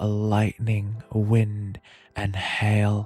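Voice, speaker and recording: With music in the background, a man speaks very slowly in a fairly low, flat, monotone voice. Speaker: ASMR streamer, VTuber. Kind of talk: poetry reading. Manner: slow, soft-spoken.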